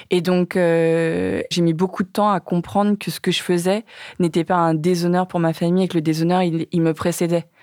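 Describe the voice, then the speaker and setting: A woman speaks at a moderate pace with a fairly low pitch, a dark, mellow tone, and monotone, flat intonation. The recording is very clean with a silent background, and the sound is dry and close with no echo. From Vietnamese family in France. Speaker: documentary filmmaker. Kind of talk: casual chat. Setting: studio. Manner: halting.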